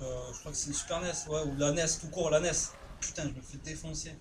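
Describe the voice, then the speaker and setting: Noticeable background noise sits behind a man speaking at a moderate pace. His pitch is fairly high, and his intonation is flat and monotone. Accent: southern French. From southern France. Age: 20s. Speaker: gaming youtuber. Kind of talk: live gameplay commentary. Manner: casual, hesitant with many fillers.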